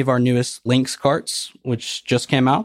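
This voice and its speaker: In a Tennessee accent, a man talks at a medium pitch, the sound dry and close with no echo. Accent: Southern US (Tennessee). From Tennessee (Nashville). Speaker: golf cart dealership president. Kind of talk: casual interview.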